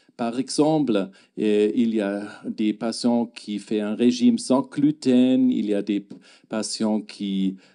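A man with a German accent speaks at a very slow pace in a dark, mellow tone against a quiet background. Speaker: gastroenterologist. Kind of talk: lecture. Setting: stage with audience. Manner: halting. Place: hall. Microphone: handheld.

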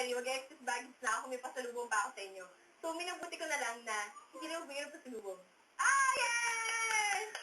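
Speaking very fast in a raised, projected voice, a woman with a high pitch makes very wide pitch swings amid audible room echo and noticeable background noise. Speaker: countdown show host. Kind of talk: casual chat. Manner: animated.

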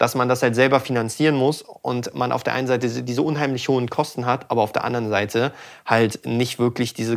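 The speaker talks at a fairly quick pace with fairly even intonation over a quiet background. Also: man. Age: 20s. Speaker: sound engineer and channel host; channel host. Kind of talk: casual chat. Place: studio. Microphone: studio mic.

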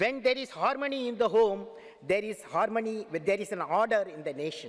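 In a Tamil Indian accent, a man talks against a quiet background. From Tamil Nadu, India. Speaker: aerospace scientist, former head of state. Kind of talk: formal speech to a parliament. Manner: slow, repetitive, poetic. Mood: earnest, uplifting. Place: hall. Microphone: podium.

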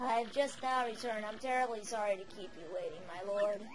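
Over loud background noise, a woman puts on a raspy character voice, pitched fairly high and delivered at a fairly quick pace.

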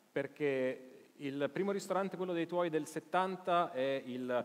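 A man talks with lively intonation, keeping a fairly slow pace. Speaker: journalist and live show host. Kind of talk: live interview on stage. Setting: theater stage with audience. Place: stage.

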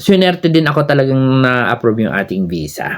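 Lively intonation marks this man's voice. He talks at a moderate pace over a quiet background. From Philippines. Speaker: YouTuber and overseas Filipino worker; vlogger sharing visa advice. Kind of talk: vlog advice talk. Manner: casual with frequent fillers. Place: home room. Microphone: phone near.

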